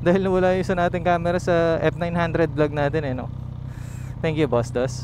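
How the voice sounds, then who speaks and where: Noticeable background noise behind a man's high-pitched speech, fairly quick in pace with ordinary pitch variation. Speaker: motovlogger. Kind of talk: riding vlog commentary. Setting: riding a motorcycle outdoors. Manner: talkative.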